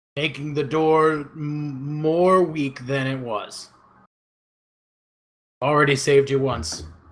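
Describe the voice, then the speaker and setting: A man in a put-on character voice, fairly high in pitch, with long, frequent pauses. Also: fairly slow pace, fairly even intonation. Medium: actual play. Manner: halting, earnest, slightly odd phrasing.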